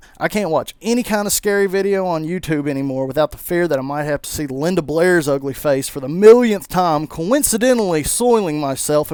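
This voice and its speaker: A man with a strong Southern US accent talks at a fairly quick pace in a high, animated voice with lively intonation over noticeable background noise. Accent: thick Southern US. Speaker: gaming YouTuber. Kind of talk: video commentary. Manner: mumbling at times; casual, animated rant.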